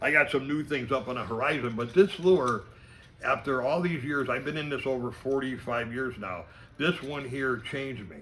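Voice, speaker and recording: A man with an ordinary speaking voice, medium pitch and ordinary pitch variation, moderate pace, big swings in loudness. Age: 60s. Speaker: fishing lure maker. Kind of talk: casual interview.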